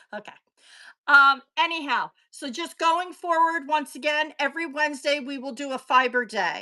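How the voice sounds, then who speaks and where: On a very clean recording with a silent background, a woman projects a raised, high-pitched voice with a bright, sharp tone and ordinary pitch variation. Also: moderate pace, big swings in loudness. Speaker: live online seller. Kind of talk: live sales stream. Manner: loud.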